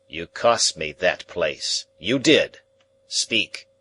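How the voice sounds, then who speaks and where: Putting on a character voice, a man speaks very slowly in an extremely high, raspy tone. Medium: read story. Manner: menacing, gloating.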